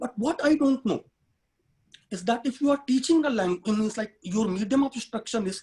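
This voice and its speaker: This man has a high pitch and an Indian accent. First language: Hindi. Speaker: human rights activist and education consultant. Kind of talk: webinar talk.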